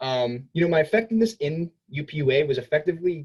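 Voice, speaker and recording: Somewhat breathy, a man speaks at a fairly high pitch with lively intonation. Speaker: student government representative. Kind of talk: campaign speech. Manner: fast.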